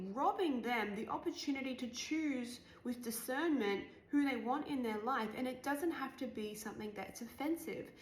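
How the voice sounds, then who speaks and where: A woman's high-pitched, animated voice at a moderate pace with ordinary pitch variation, plus audible room echo and noticeable background noise. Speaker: life coach. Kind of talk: personal vlog monologue. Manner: casual, animated.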